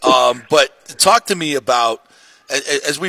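A man is speaking here. His tone is bright and sharp. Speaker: sports radio host. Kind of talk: sports talk radio. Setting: studio. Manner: animated.

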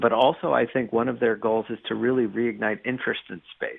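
A man with an American accent, an ordinary speaking voice and medium pitch, at a fairly quick pace. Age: 40s. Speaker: journalist and author. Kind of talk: interview.

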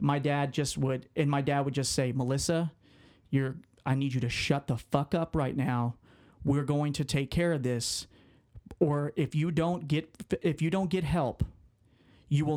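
A man talks at a moderate pace in an unremarkable speaking voice, pitched fairly high. His intonation is fairly even, and the recording is very clean with a silent background. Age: 20s. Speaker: sports writer. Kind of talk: personal testimony.

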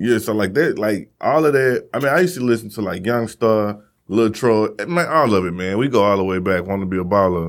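Against a very clean recording with a silent background, a man with an American accent and an unremarkable speaking voice talks at a fairly quick pace and fairly low pitch, with lively intonation and hardly any pauses. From Missouri. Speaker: podcast host. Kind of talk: casual chat.

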